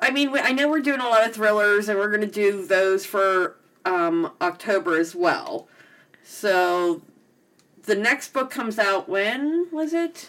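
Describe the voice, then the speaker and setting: Her pitch rises and falls over a very wide range. She delivers her words fairly slowly. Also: fairly high pitch for a woman. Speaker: podcast host. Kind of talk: casual chat. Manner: laughs often.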